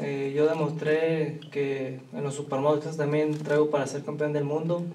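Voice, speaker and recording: With a Mexican accent, a man talks at a moderate pace with hardly any pauses, in a fairly high pitch and a monotone, flat intonation, over noticeable background noise and audible room echo. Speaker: professional boxer. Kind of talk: press conference.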